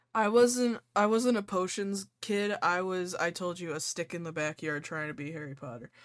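Against a silent background in a very clean recording, a woman with a medium pitch speaks at a moderate pace with hardly any pauses and lively intonation in an ordinary speaking voice. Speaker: podcast host. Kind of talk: casual chat.

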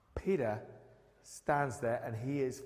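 With audible room echo around him, a man of medium pitch talks at a moderate pace. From northern England, Newcastle. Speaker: pastor. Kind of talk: sermon. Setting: church.

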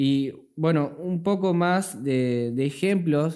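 On a very clean recording with a silent background, a man's fairly high voice carries a dark, mellow tone and ordinary pitch variation. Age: 20s. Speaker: podcast host, young church member. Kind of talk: casual religious discussion.

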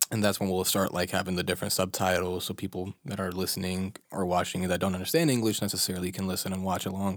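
A man with a Chicago accent and a very deep, low pitch at a very fast pace, hardly any pauses, fairly even intonation, and a very clean recording with a silent background. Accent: American, Chicago. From US Midwest, Chicago. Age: 20s. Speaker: podcast co-host. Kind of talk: casual chat. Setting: studio.

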